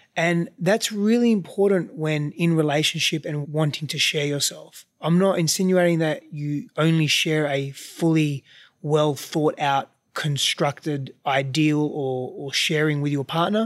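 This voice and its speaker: With an Australian accent, a man speaks fairly slowly at a fairly high pitch with ordinary pitch variation, in a very clean recording with a silent background. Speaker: relationship coach, host's husband. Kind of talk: casual chat. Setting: recording while traveling, mic on a chair.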